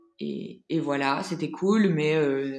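Audible room echo surrounds this woman's voice. Her pitch sits very deep and low. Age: 20s. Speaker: entrepreneur and founder of a women's platform. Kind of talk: casual interview testimony. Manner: hesitant, many fillers.

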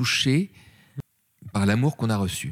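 Heard dry and close with no echo, a man speaks in an animated tone. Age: 40s. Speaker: actor and voice actor. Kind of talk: interview. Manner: animated storytelling; hesitant, repeats words.

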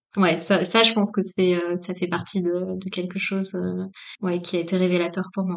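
A woman at medium pitch speaks at a moderate pace with monotone, flat intonation. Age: 40s. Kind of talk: interview about personal path and spirituality. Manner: halting, many fillers and repetitions.

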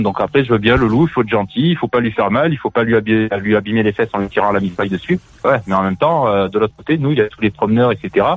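With a plain, everyday voice, a man talks at a fairly quick pace and fairly low pitch, using ordinary pitch variation. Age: 40s. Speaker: radio show caller. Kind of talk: casual chat. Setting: phone call.

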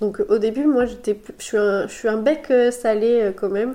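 Over noticeable background noise, a woman speaks at a fairly high pitch and a fairly slow pace. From France, Sarthe (Le Mans). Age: 30s. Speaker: pastry chef and business owner. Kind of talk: casual interview. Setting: recorded at host's home.

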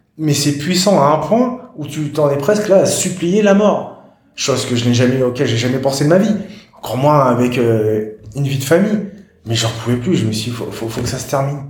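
A man's fairly high voice at a fairly quick pace, with noticeable background noise and audible room echo. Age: 40s. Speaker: patient sharing his story, hiking club founder. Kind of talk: interview testimony. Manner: halting.

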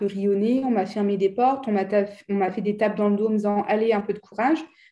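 A woman with a dark, mellow tone, fairly even intonation and a fairly quick pace. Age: 30s. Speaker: life coach. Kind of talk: interview.

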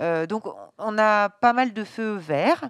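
The voice shows ordinary pitch variation, with a dry, close sound and no echo. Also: woman. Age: 50s. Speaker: baker and business owner. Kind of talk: interview. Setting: in her bakery at night. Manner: halting, many hesitations.

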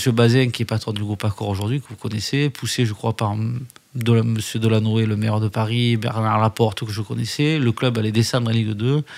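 Here a man talks at a medium pitch with a southern French accent. His delivery is fairly quick and his intonation monotone and flat. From southern France (Alès, Gard). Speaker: newspaper founder and publisher. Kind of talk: interview. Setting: hotel lounge.

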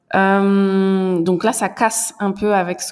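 There is noticeable background noise behind this woman, whose pitch sits in the medium range. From central France. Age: young. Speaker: French teacher. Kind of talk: interview.

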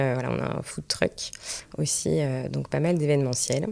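This woman talks at a moderate pace. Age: 30s. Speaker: restaurant entrepreneur and mother. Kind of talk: casual interview. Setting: studio, filmed. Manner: halting, many fillers.

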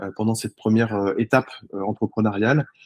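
The sound is dry and close with no echo as a man at a medium pitch talks at a very fast pace. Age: 40s. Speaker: startup founder. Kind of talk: interview. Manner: animated.

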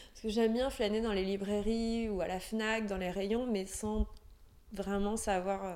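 Her pitch sits fairly high, and her intonation stays fairly even. The woman speaks at a fairly slow pace. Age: 30s. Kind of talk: interview. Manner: halting.

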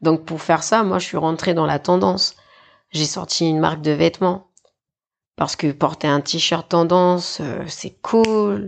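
Her voice is fairly low in pitch with ordinary pitch variation, and the woman talks at a fairly slow pace. She leaves long, frequent pauses against a quiet background. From New Caledonia. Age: 20s. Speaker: teacher and clothing entrepreneur. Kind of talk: interview. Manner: casual, hesitant.

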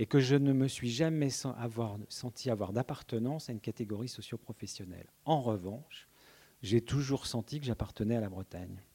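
This man talks at a moderate pace, his pitch medium with ordinary variation. His tone is dark and mellow, the sound dry and close with no echo, on a very clean recording with a silent background. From Brittany, Carhaix area. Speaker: journalist and essayist. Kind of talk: public panel talk. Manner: halting, many repetitions.

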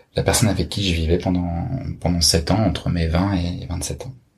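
With audible room echo around him, a man speaks fairly slowly in a very deep, low voice. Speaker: friend of the host. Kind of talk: interview.

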